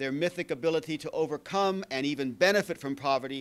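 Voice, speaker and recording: Talking very fast, a man with an American accent uses a fairly high pitch with ordinary pitch variation. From California. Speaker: historian. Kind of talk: academic conference presentation. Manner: halting in Q&A with many fillers. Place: meeting room. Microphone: podium.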